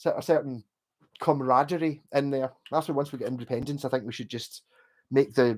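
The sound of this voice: With a West of Scotland accent, a man talks at a fairly quick pace and medium pitch, his tone slightly mellow and his intonation fairly even. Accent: Glasgow area, west of Scotland.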